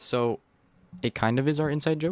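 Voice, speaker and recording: On a very clean recording with a silent background, a man speaks at a moderate pace in a dry, close sound with no echo. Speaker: content creator. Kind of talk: casual solo Q&A podcast. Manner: rambling, casual.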